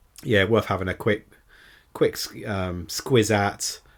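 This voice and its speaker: Over a silent background in a very clean recording, a man with a British accent speaks very slowly in a fairly low pitch. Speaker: podcast host. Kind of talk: casual solo podcast. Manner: monotone; hesitant, many fillers.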